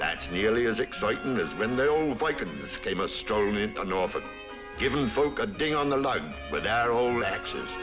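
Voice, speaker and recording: Over music in the background, a man speaks at a medium pitch and moderate pace, his intonation lively and his loudness very even. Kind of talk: documentary narration, folksy local commentary.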